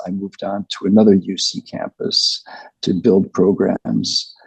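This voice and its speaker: A man's voice, dry and close with no echo. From US, New York, then France from 16. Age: 60s. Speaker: physician and author. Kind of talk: interview.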